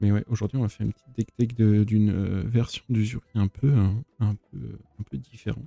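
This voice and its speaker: A man with a fairly low pitch talks at a moderate pace with ordinary pitch variation and big swings in loudness, recorded dry and close with no echo while music plays in the background. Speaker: card game streamer. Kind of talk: live stream deck tech. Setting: home livestream.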